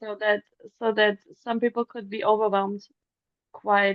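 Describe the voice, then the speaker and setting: A woman talks with a German accent. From Germany. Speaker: singer. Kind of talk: interview answers. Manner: hesitant.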